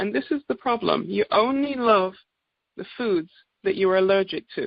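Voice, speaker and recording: This woman talks at a moderate pace with an English accent. Her medium-pitched voice has lively intonation. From England. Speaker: naturopath. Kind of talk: sales presentation. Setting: conference call.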